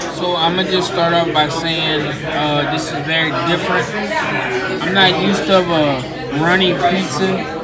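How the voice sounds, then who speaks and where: Crowd noise fills the background. The speaker moves at a fairly slow pace. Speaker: vlogger. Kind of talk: casual vlog chat. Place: cafe.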